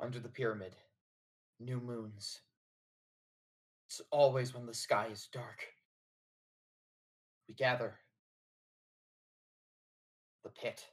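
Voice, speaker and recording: In a put-on character voice, a man whispers quietly and raspily at a fairly slow pace, with long, frequent pauses. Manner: whispering, hushed.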